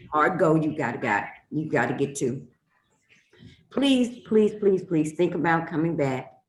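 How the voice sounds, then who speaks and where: A woman with a very deep, low pitch speaks at a fairly slow pace, leaving long, frequent pauses. Her tone is animated and her intonation lively. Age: 60s. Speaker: podcast host and reverend. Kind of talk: casual interview chat; podcast outro promo.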